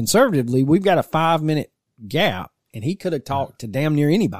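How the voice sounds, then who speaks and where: Talking at a very fast pace, a man with a fairly high pitch uses lively intonation in a dry, close sound with no echo. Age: 40s. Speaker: podcast host. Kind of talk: true crime narration; casual chat. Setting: basement studio.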